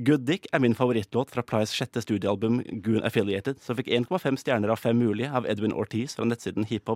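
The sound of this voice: Someone reads in an unforced reading voice.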